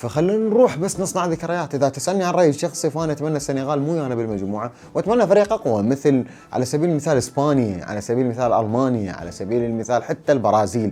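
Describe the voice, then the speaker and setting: A man with an Iraqi accent, fairly high-pitched, very fast and with hardly any pauses, very wide pitch swings, amid noticeable background noise. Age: 30s. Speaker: football analyst. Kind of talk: opinion monologue.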